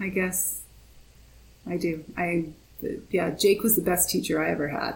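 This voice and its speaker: A woman's fairly low, vocal-fry voice at a fairly slow pace, broken by long, frequent pauses. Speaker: author and mother of a son with a rare disease. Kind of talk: casual interview chat. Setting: video call.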